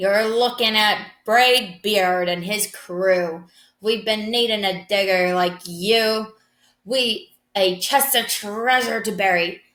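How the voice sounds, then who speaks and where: A woman bellows loudly in a put-on character voice of medium pitch at a fairly slow pace. The recording is very clean with a silent background. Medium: read story. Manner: loud, bellowing.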